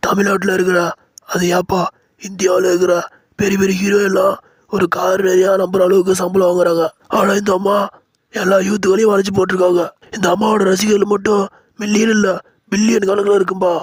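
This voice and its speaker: This is a cartoonish character voice with monotone, flat intonation. Its loudness stays very even. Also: man, high pitch for a man, moderate pace. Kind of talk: comic village dialect. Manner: teasing, chatty, ends lines with "pa".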